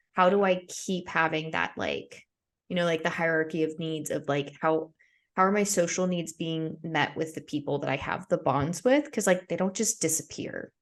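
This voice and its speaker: With an American accent, a woman speaks at a moderate pace in a plain, everyday voice. Her pitch is fairly low with ordinary variation, and the background is quiet. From United States. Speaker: podcast host. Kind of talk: casual chat.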